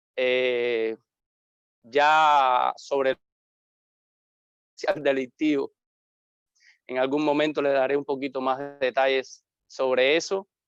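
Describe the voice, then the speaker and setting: A man with a Havana accent talks at a very slow pace, with long, frequent pauses. His pitch is fairly high and his intonation monotone and flat, in a dry, close sound with no echo. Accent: Havana Cuban, little eastern Cuban trace. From Cuba, Havana. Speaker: pastor. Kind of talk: interview.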